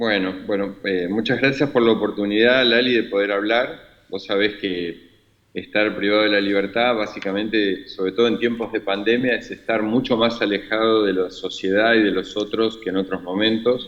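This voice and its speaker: A man's fairly low voice holds fairly even intonation at a moderate pace. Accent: Rioplatense. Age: 60s. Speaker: imprisoned former government official. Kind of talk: interview. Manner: halting, many fillers.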